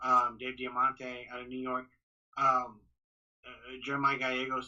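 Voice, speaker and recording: The speaker is a man with a medium pitch. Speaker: boxing ring announcer. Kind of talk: podcast interview answer. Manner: casual, hesitant.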